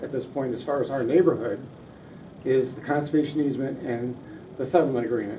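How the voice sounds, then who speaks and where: Recorded with audible room echo and noticeable background noise, a man speaks in an American accent. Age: 70s. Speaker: neighborhood group leader. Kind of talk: public meeting discussion. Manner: repetitive, halting.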